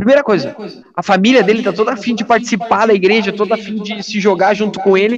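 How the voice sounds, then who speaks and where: A man is speaking. His pace is very fast. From Santa Catarina, southern Brazil. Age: 20s. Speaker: evangelist. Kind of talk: casual chat. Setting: video call.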